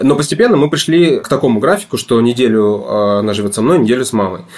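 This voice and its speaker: This man talks very fast, his pitch swinging very widely. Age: 30s. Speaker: divorced father sharing custody. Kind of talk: interview, personal story. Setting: studio.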